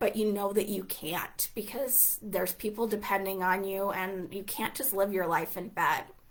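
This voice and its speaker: A woman talks at a medium pitch and a fairly slow pace in an unremarkable speaking voice. Her pitch variation is ordinary. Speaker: hypnosis and healing coach. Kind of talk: live webinar class. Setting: livestream.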